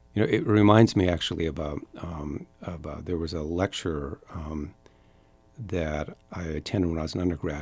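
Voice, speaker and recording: A man with an American accent and a very deep, low voice, moderate pace, fairly even intonation, music in the background. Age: 60s. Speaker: entrepreneur. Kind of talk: casual chat. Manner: halting.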